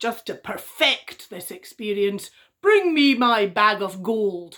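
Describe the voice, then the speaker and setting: The voice is a put-on character. Its delivery comes at a fairly slow pace. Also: woman, medium pitch for a woman. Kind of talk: bedtime story. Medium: read story. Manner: big, stomping storybook delivery.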